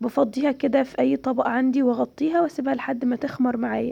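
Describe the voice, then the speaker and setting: A woman with an Egyptian accent, high in pitch, dark and mellow in tone, at a fairly quick pace. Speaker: cooking channel host. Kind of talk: cooking tutorial.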